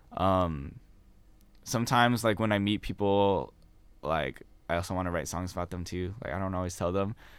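At a moderate pace with long, frequent pauses, a man speaks in a very deep, low pitch with ordinary pitch variation. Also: very clean recording, silent background. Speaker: student musician and worship leader. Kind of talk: casual interview. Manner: casual, hesitant, many fillers.

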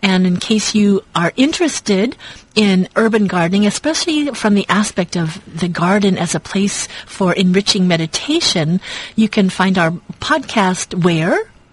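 At a moderate pace and medium pitch, a woman speaks somewhat breathily with lively intonation and very even loudness. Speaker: radio co-host. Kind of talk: casual chat. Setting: radio studio.

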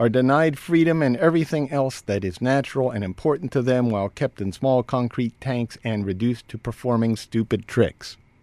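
A man speaks in a normal speaking voice at a medium pitch, fairly quickly and with hardly any pauses, using ordinary pitch variation. The very clean recording has a silent background and a dry, close sound with no echo. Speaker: radio host. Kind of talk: casual radio banter and news commentary. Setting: radio studio.

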